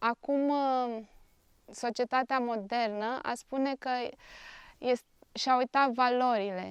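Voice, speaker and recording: A woman with a high pitch speaks very slowly with long, frequent pauses, in a dry, close sound with no echo and a quiet background. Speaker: NGO director, clinical psychologist. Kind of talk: interview. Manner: hesitant, many fillers.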